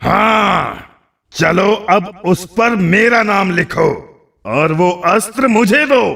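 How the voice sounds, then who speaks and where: A gruff, bellowing cartoonish character voice. It moves at a very slow pace. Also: man, high pitch for a man. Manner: roaring, gruff.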